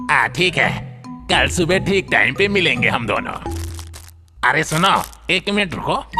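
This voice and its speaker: A cartoonish character voice at a middle pitch talks at a fairly slow pace. Clear music plays in the background. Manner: sly, confident.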